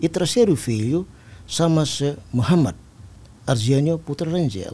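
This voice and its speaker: A man speaks in a dark, mellow tone at a fairly high pitch. His intonation is lively. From East Timor. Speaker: army general; guest. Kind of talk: interview. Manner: formal. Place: studio. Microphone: studio mic.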